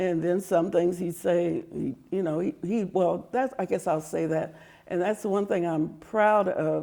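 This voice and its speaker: A woman with an American accent talks with hardly any pauses, her fairly low voice dark and mellow with vocal fry and ordinary pitch variation. The recording is very clean, with a silent background. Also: fairly slow pace. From Topeka, Kansas, USA. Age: 70s. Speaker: former school board member and legislative staffer. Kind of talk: oral history interview answer.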